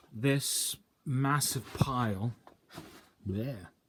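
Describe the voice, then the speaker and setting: A man talks in a somewhat breathy voice. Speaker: DIY hobbyist building a CNC machine. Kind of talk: casual tutorial. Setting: small home workshop. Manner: halting.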